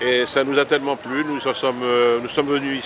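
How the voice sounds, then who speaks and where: At a moderate pace and with fairly even intonation, the speech comes through noticeable background noise. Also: man. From Paris, France. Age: 70s. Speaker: retired immigrant resident. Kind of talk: interview testimony.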